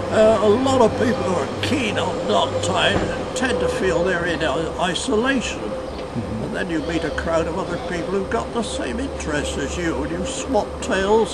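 A man speaks over loud background noise. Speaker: knot tyer, first president of a knotting guild. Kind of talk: interview answer. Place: waterside. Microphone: camera far.

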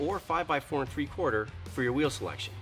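A man talks at a very fast pace over faint background music. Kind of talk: product presentation. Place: garage.

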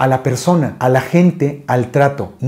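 Over a quiet background, a man talks with lively intonation and a dark, mellow tone. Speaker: voice actor interviewee. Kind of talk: interview answer. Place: home room. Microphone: lapel.

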